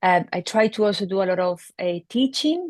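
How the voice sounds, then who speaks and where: A woman with a Spanish accent speaks at a moderate pace and medium pitch. The background is quiet, and the sound is dry and close with no echo. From Spain. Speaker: veterinary neurologist. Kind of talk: interview explanation.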